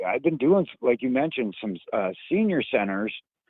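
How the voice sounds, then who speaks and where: An American-accented man at a moderate pace, with very wide pitch swings. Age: 60s. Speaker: stand-up comedian. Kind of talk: casual chat. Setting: phone call.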